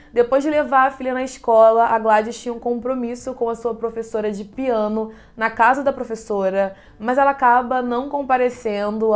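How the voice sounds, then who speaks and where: Against a quiet background, a woman speaks at a moderate pace in a flat monotone. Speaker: true crime podcaster. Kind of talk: true crime narration.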